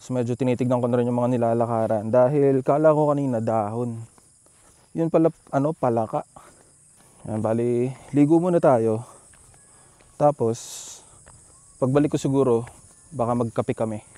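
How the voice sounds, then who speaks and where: A man speaks at a moderate pace and medium pitch with fairly even intonation, leaving long, frequent pauses, the sound dry and close with no echo. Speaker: motovlogger. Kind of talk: casual vlog narration. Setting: outdoors at a campsite. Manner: softer voice to not wake others.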